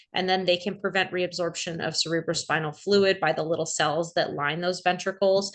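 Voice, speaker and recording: A woman's fairly low, monotone voice with flat intonation, against a quiet background. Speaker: emergency medicine physician presenting. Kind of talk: lecture. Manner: fast.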